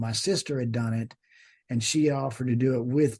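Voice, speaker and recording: Speaking at a fairly quick pace, a man has a dark, mellow tone and a somewhat breathy quality. His intonation is fairly even, against a quiet background. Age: 60s. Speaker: judge. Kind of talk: podcast interview. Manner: halting.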